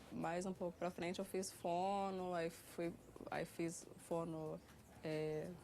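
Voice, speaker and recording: The speech is very slow, with a dark, mellow tone. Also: woman. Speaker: person who stutters. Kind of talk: interview. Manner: halting.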